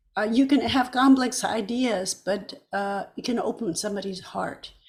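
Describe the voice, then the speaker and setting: Somewhat breathy, a woman speaks at a moderate pace and a fairly high pitch with ordinary pitch variation. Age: 80s+. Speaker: musician and activist. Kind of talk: interview. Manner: hesitant, with many fillers.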